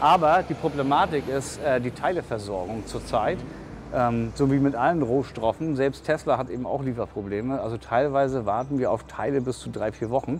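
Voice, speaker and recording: Over light background noise, a man speaks at a moderate pace with hardly any pauses and ordinary pitch variation. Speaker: interviewee. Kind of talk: interview answer. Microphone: lapel.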